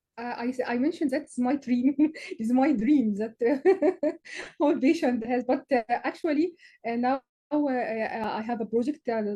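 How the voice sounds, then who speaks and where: A woman's high-pitched voice in an Arabic accent, dark and mellow in tone, with ordinary pitch variation at a moderate pace. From Egypt. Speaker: physician and researcher, session moderator. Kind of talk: panel discussion Q&A. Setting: online video session. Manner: halting.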